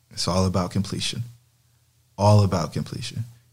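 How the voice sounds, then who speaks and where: The recording is very clean, with a silent background. The voice is somewhat breathy and moves at a moderate pace. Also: man. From US South. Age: 30s. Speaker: real estate investor. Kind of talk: interview. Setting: in person with host.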